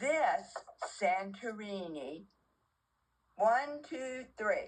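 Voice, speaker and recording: A woman with a fairly high voice, very wide pitch swings and a very slow pace. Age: 80s+. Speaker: older woman demonstrating her makeup routine. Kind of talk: casual makeup tutorial. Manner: chatty, informal.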